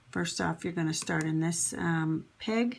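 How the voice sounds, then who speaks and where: Using a plain, everyday voice, a woman talks at a fairly slow pace with lively intonation and fairly low pitch. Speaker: crafting tutorial channel host. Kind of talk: tutorial. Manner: conversational, instructive, with fillers.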